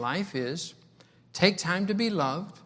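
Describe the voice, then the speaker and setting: A man speaks with lively intonation. The room echo is audible. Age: 60s. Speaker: travelling preacher. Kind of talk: sermon. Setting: church. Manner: repetitive, halting speech.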